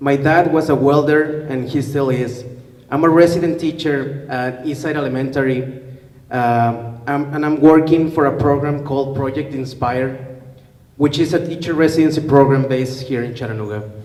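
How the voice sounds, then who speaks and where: A man with a Spanish accent, fairly high in pitch, at a moderate pace with fairly even intonation and audible room echo. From Mexico, León, Guanajuato. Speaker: teacher. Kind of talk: public talk, partly read aloud. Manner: hesitant, many fillers.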